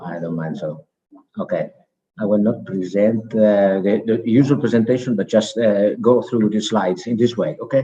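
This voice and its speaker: A man with an Italian accent talks at a fairly low pitch in a dark, mellow tone. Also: ordinary pitch variation, moderate pace. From Italy, Veneto. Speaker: program participant presenting project. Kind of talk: presentation. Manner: halting.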